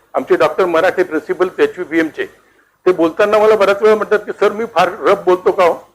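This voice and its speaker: With music in the background, a man speaks at a high pitch, a moderate pace and fairly even intonation. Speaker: retired professor, educationist. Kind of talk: lecture. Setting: hall with audience. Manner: soft-spoken.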